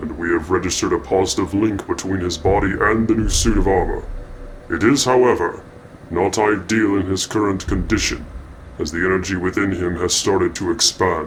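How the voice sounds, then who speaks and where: Putting on a character voice, a man speaks fairly quickly at a fairly low pitch, with clear background noise behind him. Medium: machinima. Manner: formal, measured.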